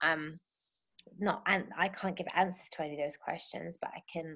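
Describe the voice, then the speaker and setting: With an English accent, a woman speaks at a fairly low pitch with fairly even intonation. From England. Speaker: birth doula and circle facilitator. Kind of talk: interview conversation.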